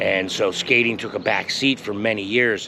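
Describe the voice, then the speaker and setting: Noticeable background noise runs beneath speech whose intonation holds fairly even. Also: man. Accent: American. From US West Coast, San Diego. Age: 60s. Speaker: skateboard reviewer. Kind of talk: product review vlog. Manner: casual, rambling with filler words.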